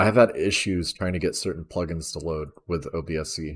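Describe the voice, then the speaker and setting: This is a very clean recording with a silent background. A man speaks at a moderate pace. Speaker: gaming tutorial streamer. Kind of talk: tutorial. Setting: live stream. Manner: speech disorder, unfinished sentences.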